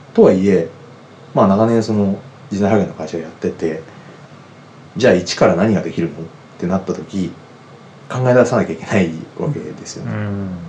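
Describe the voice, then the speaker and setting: A man with a fairly low pitch and ordinary pitch variation speaks at a moderate pace, with big swings in loudness and long, frequent pauses. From Yamanashi, Kofu. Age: 40s. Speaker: hunter. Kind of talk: interview.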